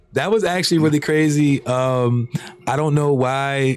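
A man speaks at a moderate pace with a fairly high pitch. Noticeable background noise runs under his voice. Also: very even loudness. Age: 30s. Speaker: podcaster. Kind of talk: casual chat. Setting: studio. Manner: animated.

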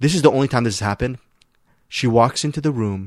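Heard on a very clean recording with a silent background, a man uses a normal speaking voice. His pitch is medium with ordinary variation. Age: 40s. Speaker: film critic. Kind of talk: casual chat.

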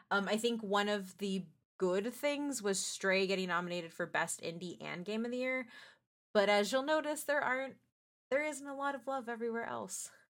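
A woman with an American accent speaks at a moderate pace, with lively intonation and an unremarkable speaking voice. The recording is very clean, with a silent background. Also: fairly high pitch for a woman. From San Antonio, Texas. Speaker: editor-in-chief, podcast co-host.

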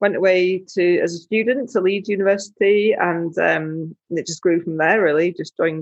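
A woman with a Yorkshire accent speaks at a moderate pace and a medium pitch. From northern England, West Yorkshire. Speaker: adventurer and wheelchair user. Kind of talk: interview, casual chat.

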